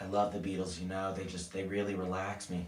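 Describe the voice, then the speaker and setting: Putting on a character voice, a man speaks in a very deep, low, raspy pitch with monotone, flat intonation at a fairly quick pace over clear background noise. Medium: solo performance.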